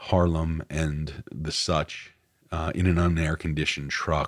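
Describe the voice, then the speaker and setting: A man with an American accent speaks at a very deep, low pitch with vocal fry. His intonation stays fairly even and his pace fairly slow. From New York, Westchester County. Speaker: writer and podcast host. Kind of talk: personal monologue. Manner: halting, many fillers.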